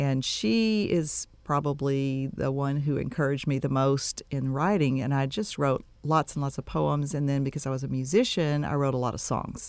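A woman with an American accent talks at a moderate pace with hardly any pauses, her very deep, low pitch showing ordinary variation. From Texas Gulf Coast. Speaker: dentist and romance novelist. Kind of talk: radio interview. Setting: studio.

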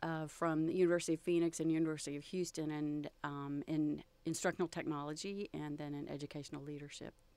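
A woman with a Texan accent talks at a very fast pace with hardly any pauses. Her very deep, low voice has a dark, mellow tone and monotone, flat intonation. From Texas, Galveston. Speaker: photographer. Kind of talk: interview.

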